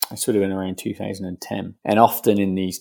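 A British accent in a very clean recording with a silent background and a dry, close sound with no echo. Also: man. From UK. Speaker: indoor farming company founder. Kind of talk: interview.

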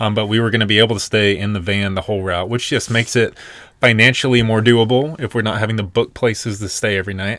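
Very fast speech from a man with an American accent, fairly low in pitch with fairly even intonation, on a very clean recording with a silent background. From US South, Nashville, Tennessee. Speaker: podcast co-host, van lifer. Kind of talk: casual chat.

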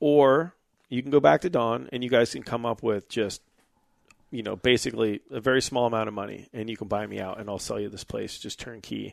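A man speaks at a medium pitch and fairly quick pace with ordinary pitch variation. His loudness swings widely against a quiet background. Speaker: motorcycle business owner and company CEO. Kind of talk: casual interview chat.

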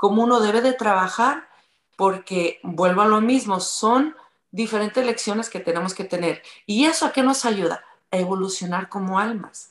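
With a normal speaking voice, a woman talks at a moderate pace, her fairly high pitch showing ordinary variation. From Mexico, from Tula. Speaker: radio presenter and yoga teacher. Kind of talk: casual chat.

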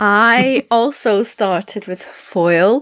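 This is a woman speaking with a Scottish accent. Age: 20s. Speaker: fencer and youth coach. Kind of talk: casual chat.

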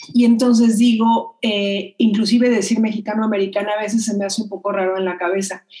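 A woman's fairly high voice at a fairly quick clip, monotone and flat, with hardly any pauses. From Mexico. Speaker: children's media producer and researcher. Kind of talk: interview.

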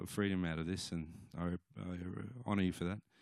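A man with an Australian accent talks in a very deep, low pitch and fairly even intonation. The recording is very clean, with a silent background. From Australia, Cooma, New South Wales. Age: 40s. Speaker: musician. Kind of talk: testimony. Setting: church. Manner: halting.

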